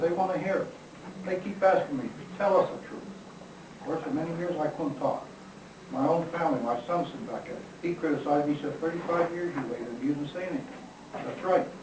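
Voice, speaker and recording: Over noticeable background noise and audible room echo, a man talks at a very fast pace, with a high pitch and lively intonation. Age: 80s+. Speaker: retired army officer and author. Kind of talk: press conference talk with Q&A. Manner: halting, with repetitions.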